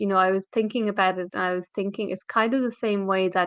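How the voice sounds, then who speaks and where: With an Irish accent, a woman speaks at medium pitch and with fairly even intonation. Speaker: English teacher. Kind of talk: live stream lesson. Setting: live video stream.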